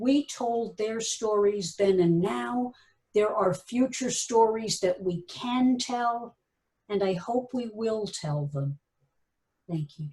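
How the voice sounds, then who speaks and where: Somewhat breathy and fairly high in pitch, a woman talks at a very slow pace with lively intonation and a dark, mellow tone. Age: 70s. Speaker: radio historian and author. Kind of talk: lecture. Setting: video call.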